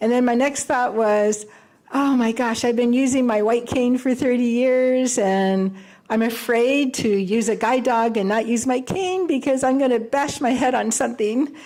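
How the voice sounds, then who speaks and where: A woman speaks at a moderate pace in a high pitch with a dark, mellow tone. Her loudness stays very even. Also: ordinary pitch variation. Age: 70s. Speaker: blind guide dog graduate. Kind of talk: graduation speech. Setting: ceremony with live audience. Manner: halting, many fillers.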